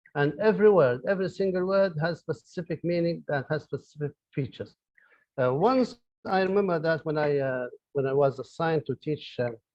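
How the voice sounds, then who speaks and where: Speaking with an Arabic accent, a man keeps a moderate pace and ordinary pitch variation. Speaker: professor. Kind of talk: lecture. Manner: halting, many fillers and repeated words.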